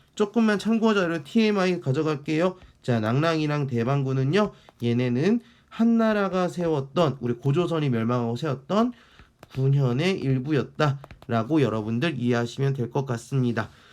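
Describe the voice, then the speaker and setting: A man uses an ordinary speaking voice at a fairly slow pace and a fairly high pitch. His intonation is lively, and his loudness stays very even. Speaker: history teacher. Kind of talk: lecture. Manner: conversational, rhetorical questions.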